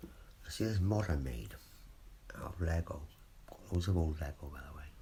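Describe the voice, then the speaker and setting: Someone whispers at a moderate pace with vocal fry and big swings in loudness, in audible room echo. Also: man. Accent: British. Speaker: vlogger. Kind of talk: casual monologue. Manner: whispering; rambling, hesitant.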